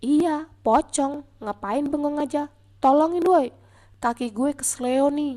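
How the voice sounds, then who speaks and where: Using a put-on character voice, a woman speaks fairly slowly in a high, nasal tone. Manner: snapping, annoyed.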